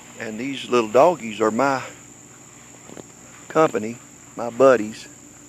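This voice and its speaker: At a fairly slow pace, a man of medium pitch speaks with an American accent over noticeable background noise. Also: fairly even intonation. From Kentucky. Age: 60s. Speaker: pet owner livestreamer. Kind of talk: casual livestream chat to viewers. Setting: outdoors.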